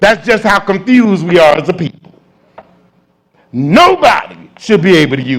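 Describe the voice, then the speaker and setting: In an animated tone, a man speaks in a high voice with big swings in loudness. He leaves long, frequent pauses. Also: lively intonation, moderate pace. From Chicago. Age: 60s. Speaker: Bible class teacher. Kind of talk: Bible class lecture.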